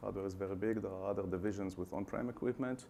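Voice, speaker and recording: A man with an Israeli accent and ordinary pitch variation. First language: Hebrew. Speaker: customer success team manager. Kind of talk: conference presentation. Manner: hesitant, many fillers.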